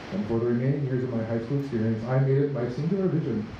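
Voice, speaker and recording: With noticeable background noise and audible room echo, a man with an American accent talks at a very fast pace. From rural Nebraska. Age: 20s. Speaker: high school English teacher. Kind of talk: speech at a vigil. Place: street.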